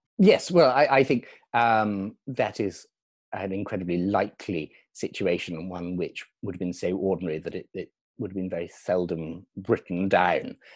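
Against a quiet background, a man with a British accent speaks at a moderate pace in a very deep, low voice, with ordinary pitch variation and big swings in loudness. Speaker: tour guide and historian. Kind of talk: interview about history, explanatory. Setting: video call.

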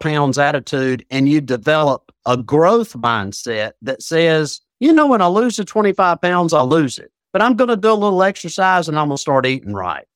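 With an American accent, a man talks at a moderate pace with hardly any pauses, his pitch swinging very widely. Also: dry, close sound with no echo. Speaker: addiction recovery coach. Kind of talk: interview conversation.

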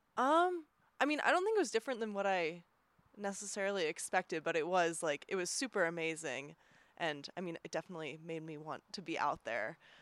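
A woman talks at a fairly quick pace, her pitch fairly low. It is an ordinary speaking voice. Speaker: podcast editor and triathlete. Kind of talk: casual chat.

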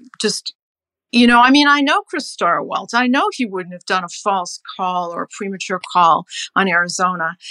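With a normal speaking voice, a woman of medium pitch talks at a moderate pace with lively intonation, the sound dry and close with no echo. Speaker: newspaper columnist and author. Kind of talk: political roundtable discussion.

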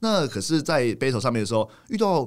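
Very fast and full of very wide pitch swings, a man speaks with vocal fry. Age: 40s. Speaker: street dance photographer and critic. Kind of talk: casual chat.

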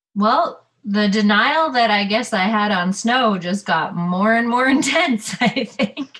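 Someone with a Canadian accent speaks at a very slow pace with hardly any pauses. Loudness stays very even, and pitch varies in an ordinary way. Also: woman, fairly high pitch for a woman. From Ontario, Canada. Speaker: ski guide. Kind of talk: interview. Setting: video call.

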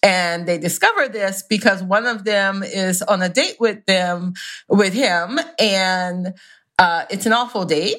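A woman with a plain, everyday voice, ordinary pitch variation and a fairly slow pace, on a very clean recording with a silent background. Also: medium pitch for a woman. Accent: American. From US South. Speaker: romance author. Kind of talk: casual chat.

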